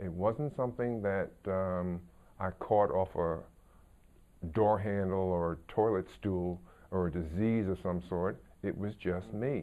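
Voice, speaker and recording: This man has a very deep, low pitch and ordinary pitch variation. He speaks at a fairly slow pace. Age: 60s. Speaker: interviewee sharing coming-out story. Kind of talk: personal testimony. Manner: hesitant, with fillers.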